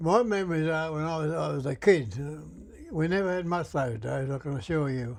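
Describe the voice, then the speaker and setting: In a strong Australian accent, a man speaks fairly quickly in a fairly high pitch with lively intonation. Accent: broad Australian. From Australia, Sydney (Liverpool, NSW). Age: 80s+. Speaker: war veteran. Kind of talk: casual interview, reminiscing. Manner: halting.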